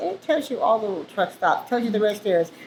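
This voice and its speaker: A woman speaks at a fairly high pitch. Noticeable background noise can be heard. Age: 60s. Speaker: truck driver. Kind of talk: interview. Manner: casual, chatty.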